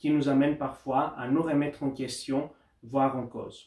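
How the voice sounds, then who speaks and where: Speaking at a fairly high pitch, a man keeps a monotone, flat intonation. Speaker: doctoral researcher and lawyer. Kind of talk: academic conference talk. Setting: university study day. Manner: formal; occasionally halting.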